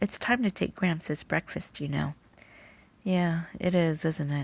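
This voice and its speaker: A soft-spoken woman talks at a fairly slow pace in a fairly low, somewhat breathy voice with ordinary pitch variation. The sound is dry and close with no echo, and the recording is very clean with a silent background. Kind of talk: bedtime story reading.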